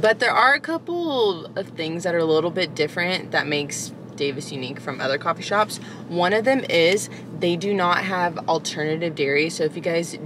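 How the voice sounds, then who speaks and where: A woman's fairly low voice at a fairly quick pace, dry with no echo, over noticeable background noise. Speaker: coffee vlogger. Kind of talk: casual vlog chat. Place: car.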